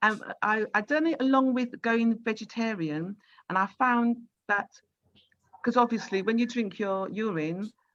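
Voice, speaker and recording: The speaker moves at a fairly slow pace with ordinary pitch variation and long, frequent pauses. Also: woman, fairly high pitch for a woman. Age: 60s. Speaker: radio host. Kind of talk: radio interview.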